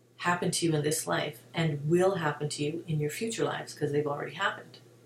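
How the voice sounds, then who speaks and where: A woman's very deep, low voice at a very fast pace, with noticeable background noise. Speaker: hypnotherapist and wellness video host. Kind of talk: casual spiritual talk to camera. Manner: animated.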